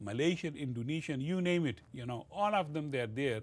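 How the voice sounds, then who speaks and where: A man with a Pashto accent speaks with lively intonation. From northwest Pakistan, Pashtun area. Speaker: college lecturer. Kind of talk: lecture. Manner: hesitant, filler-heavy.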